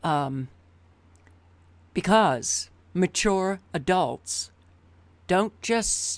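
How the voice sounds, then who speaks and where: A woman with an American accent at a medium pitch, in a very clean recording over a silent background. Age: 60s. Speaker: video commentator. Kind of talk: vlog monologue. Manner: emphatic.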